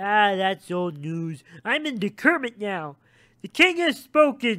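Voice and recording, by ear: Using a put-on character voice, a man talks slowly at a high pitch, his tone bright and sharp with big pitch swings.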